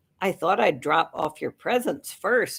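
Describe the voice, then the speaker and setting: A woman puts on a raspy character voice at a medium pitch, her pitch swinging very widely. She speaks fairly slowly. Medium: read story. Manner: sheepish, easygoing.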